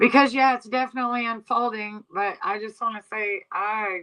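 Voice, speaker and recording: A woman speaks at a moderate pace. She has a strong Southeast Texas accent. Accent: thick Southeast Texas. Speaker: livestream commentator. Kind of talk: casual livestream chat. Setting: livestream on iPad in new house. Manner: casual, rambling conversational.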